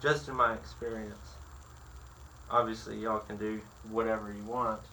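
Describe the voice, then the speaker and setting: With a bright, sharp tone and a fairly low pitch, a man speaks with big swings in loudness and ordinary pitch variation amid audible room echo. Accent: American. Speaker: woodworker. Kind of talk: tutorial. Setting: workshop. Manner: slow; halting.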